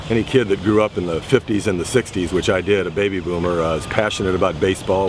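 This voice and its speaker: Very fast speech in an American accent, with hardly any pauses and fairly even intonation, over noticeable background noise. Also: man. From Southern Illinois, USA. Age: 60s. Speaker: batting-practice pitcher. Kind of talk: interview answer.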